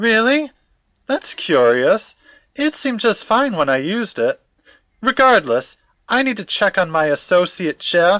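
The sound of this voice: Putting on a character voice, a man speaks high for a man, with a bright, sharp tone, big pitch swings and a fairly slow pace.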